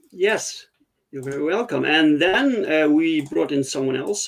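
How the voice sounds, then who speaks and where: A man with a Dutch accent at a moderate pace. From Netherlands. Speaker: comics podcast host. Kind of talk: casual chat. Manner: halting, many fillers.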